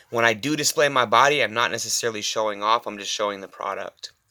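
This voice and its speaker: Quiet and very fast, a man talks in a bright, sharp tone. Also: very clean recording, silent background. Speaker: personal trainer. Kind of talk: casual monologue. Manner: halting.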